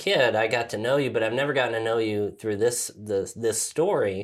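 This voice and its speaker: This very clean recording has a silent background and a man with a medium pitch. He has a normal speaking voice and keeps a moderate pace. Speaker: podcast host. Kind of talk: casual chat.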